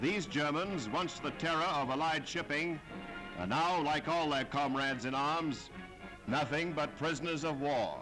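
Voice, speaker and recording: With music in the background, a man talks at a fairly high pitch and a fairly slow pace, his loudness very even. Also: ordinary pitch variation. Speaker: newsreel announcer. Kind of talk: wartime newsreel narration.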